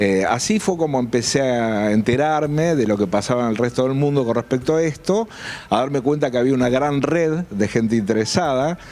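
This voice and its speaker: A man talks at a moderate pace and medium pitch, with ordinary pitch variation and very even loudness. Noticeable background noise runs underneath. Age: 60s. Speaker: UFO researcher and journalist. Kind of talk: interview. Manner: halting, many fillers.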